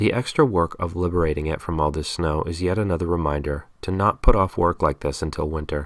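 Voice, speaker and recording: Very deep, low pitch from a man, recorded very cleanly against a silent background. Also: ordinary pitch variation, fairly quick pace. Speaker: homesteader. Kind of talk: tutorial voice-over narration.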